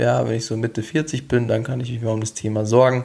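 The recording is very clean with a silent background. A man of medium pitch talks at a moderate pace. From Bavaria, Regensburg. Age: 20s. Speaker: health coach, podcast host. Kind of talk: solo podcast monologue. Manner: animated.

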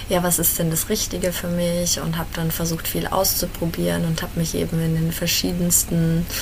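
The speech moves at a moderate pace with hardly any pauses. Noticeable background noise and audible room echo surround it. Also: woman, very even loudness. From Bavaria, Germany (Fürth, Franconia). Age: 20s. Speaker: life coach in training. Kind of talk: interview conversation. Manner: hesitant, many filler sounds.

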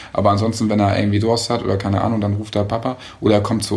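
A man's fairly low voice at a very fast pace. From Hamburg, northern Germany. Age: 30s. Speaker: father and husband. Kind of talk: casual chat.

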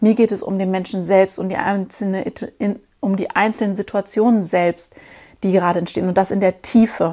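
A dark, mellow voice moves at a fairly quick pace in a very clean recording with a silent background. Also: woman, medium pitch for a woman. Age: 30s. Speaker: podcast host, personal development coach. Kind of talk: solo podcast monologue. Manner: animated.

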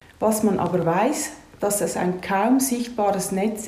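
In a room with audible echo and noticeable background noise, a woman speaks at a very slow pace and medium pitch with lively intonation. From Switzerland, Lucerne area. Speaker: massage therapist and fascia trainer. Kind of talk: interview with prepared answers.

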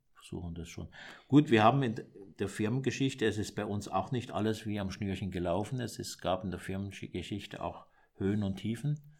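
A man's plain, everyday voice, fairly low in pitch, with ordinary pitch variation and a fairly quick pace. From southern Germany, Baden tri-border area. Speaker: monk and entrepreneur. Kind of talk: interview. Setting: monastery.

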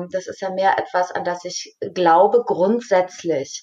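A woman at medium pitch and a very slow pace. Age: 40s. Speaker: mentor and coach. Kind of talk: casual chat.

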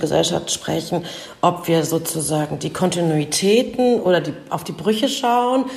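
There is noticeable noise in the background. The intonation is lively. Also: woman. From eastern Germany, Leipzig. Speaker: author and journalist. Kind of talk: interview.

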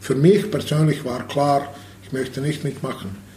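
A man with a Bosnian accent speaks fairly slowly at a fairly high pitch with ordinary pitch variation. Noticeable background noise and audible room echo are present. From Bosnia (Sarajevo). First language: Bosnian/Serbo-Croatian (speaking German). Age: 50s. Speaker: handball coach and former player. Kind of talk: interview testimony. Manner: halting.

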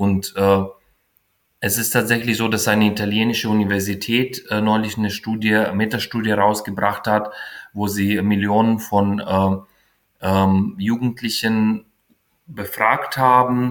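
Fairly slow and fairly low-pitched, a man is talking. His intonation is monotone and flat. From Ukraine. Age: 40s. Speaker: founder of a queer youth mentoring initiative. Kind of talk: interview. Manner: halting, many fillers.

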